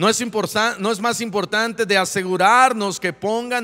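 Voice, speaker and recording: Bright, sharp tone in a man's raised and projected voice. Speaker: pastor. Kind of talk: sermon.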